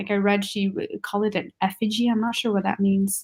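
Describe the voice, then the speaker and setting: A woman speaks very fast in a fairly high voice with a non-native accent. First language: not English. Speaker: book reader guest. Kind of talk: casual chat.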